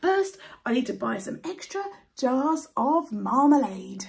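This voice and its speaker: A woman puts on a character voice, pitched high and delivered fairly slowly. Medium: read story. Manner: polite.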